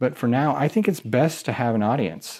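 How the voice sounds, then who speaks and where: A plain, everyday voice with lively intonation at a fairly quick pace, in a very clean recording with a silent background. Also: man. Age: 30s. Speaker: podcast host, aspiring online marketer. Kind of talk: solo podcast update. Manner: casual.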